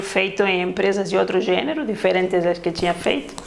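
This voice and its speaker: Over noticeable background noise and audible room echo, a woman speaks with a Spanish accent. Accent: Spanish-sounding accent in Portuguese. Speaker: ISO consultant and auditor. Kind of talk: casual interview.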